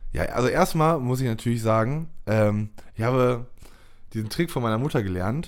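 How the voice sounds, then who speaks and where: Here a man talks at a moderate pace in a medium pitch, with a normal speaking voice. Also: ordinary pitch variation. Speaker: podcast host. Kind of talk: casual chat.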